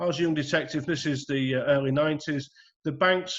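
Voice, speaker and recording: In a northern English accent, a man talks at a moderate pace with a fairly high pitch and ordinary pitch variation over a quiet background. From northern England, Bolton. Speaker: retired police detective. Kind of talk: talk with slides on video call. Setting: video call. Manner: hesitant, many fillers.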